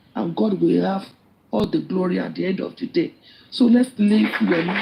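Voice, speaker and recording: With a Nigerian accent, a woman speaks at a moderate pace. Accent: Nigerian (Yoruba) English. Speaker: live stream participant. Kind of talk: impassioned speech in live group chat. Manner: halting.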